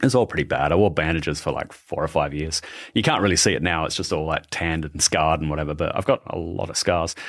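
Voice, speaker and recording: Very deep and low, a man's voice carries an Australian accent with ordinary pitch variation. He talks very fast on a very clean recording with a silent background. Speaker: podcast host and shark expert. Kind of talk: casual interview chat.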